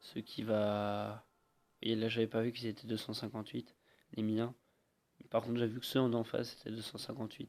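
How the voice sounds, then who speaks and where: A man of medium pitch, monotone and flat, at a moderate pace with long, frequent pauses. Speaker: gaming youtuber. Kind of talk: gameplay voiceover commentary. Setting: voice recorded over video afterwards. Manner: hesitant, many fillers.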